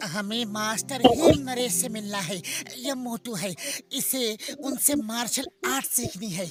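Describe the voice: In a cartoonish character voice, a man speaks high in pitch at a moderate pace.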